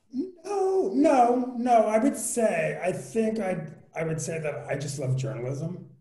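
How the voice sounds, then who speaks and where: The speaker has an American accent and talks at a very slow pace with very wide pitch swings. Audible room echo fills the recording. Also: man, high pitch for a man. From New York, Queens. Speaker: entertainment journalist. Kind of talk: casual chat.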